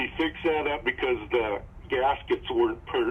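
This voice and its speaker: Background noise is easy to hear as someone talks at a middling speed. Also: man. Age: 70s. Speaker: customer. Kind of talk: phone interview.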